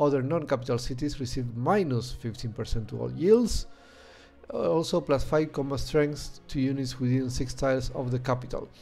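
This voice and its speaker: With music playing behind him, a man speaks with a Spanish accent at a moderate pace, his medium pitch showing ordinary variation. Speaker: video game streamer. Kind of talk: gameplay commentary. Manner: hesitant, many fillers.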